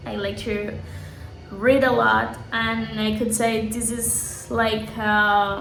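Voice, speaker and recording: Over music in the background, a woman with a Spanish accent speaks at a very slow pace, her voice carrying audible room echo. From Colombia, Santa Marta. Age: 20s. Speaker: English teacher. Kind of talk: self-introduction video for a course. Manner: halting, self-correcting.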